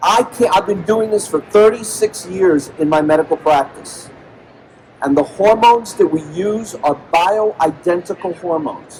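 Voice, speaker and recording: A man talks at a moderate pace in a high pitch with ordinary variation. Background noise is noticeable. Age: 60s. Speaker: medical doctor and health speaker. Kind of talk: conference talk to live audience. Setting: stage with audience at convention. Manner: animated, rhetorical questions.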